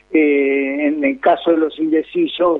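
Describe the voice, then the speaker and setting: This man has a normal speaking voice pitched fairly high. His pitch varies in an ordinary way. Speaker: political scientist. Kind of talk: interview.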